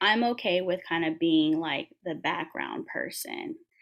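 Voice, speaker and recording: A woman speaks with an American accent at a fairly slow pace. Hers is an ordinary speaking voice at a medium pitch. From Washington DC area. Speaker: physical therapist assistant. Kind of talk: panel conversation.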